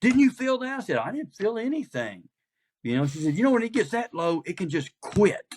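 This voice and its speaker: A man with a Southern US accent talks at high pitch and a fairly quick pace, his pitch swinging very widely, in a dry, close sound with no echo. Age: 60s. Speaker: pastor. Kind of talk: casual chat.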